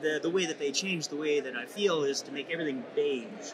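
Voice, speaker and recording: A man speaks at a fairly high pitch, with audible room echo. Noticeable background noise runs underneath. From Saskatchewan, Canada. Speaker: patient advocate. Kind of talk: interview. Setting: conference event. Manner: halting, many fillers.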